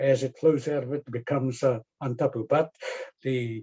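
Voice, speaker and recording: A man's somewhat breathy voice at medium pitch, moderate pace and fairly even intonation. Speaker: professor. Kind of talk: lecture. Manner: halting, many fillers.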